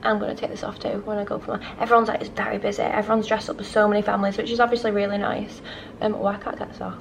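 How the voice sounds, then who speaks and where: Over noticeable background noise, a woman speaks at a very fast pace. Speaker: travel vlogger. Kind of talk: casual vlog talk to camera. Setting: hotel room and resort, handheld camera. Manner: rambling, animated.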